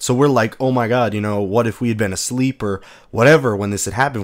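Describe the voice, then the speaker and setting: On a very clean recording with a silent background, a man with a medium pitch talks at a very fast pace, his pitch varying in an ordinary way. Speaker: gaming channel host. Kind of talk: casual storytelling vlog. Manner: casual, halting with fillers.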